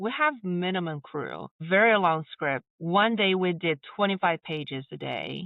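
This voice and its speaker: The voice carries a non-native accent. Its pace is fairly slow. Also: woman, fairly low pitch for a woman, ordinary pitch variation, hardly any pauses. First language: not English. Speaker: filmmaker and voice-over artist. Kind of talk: podcast interview.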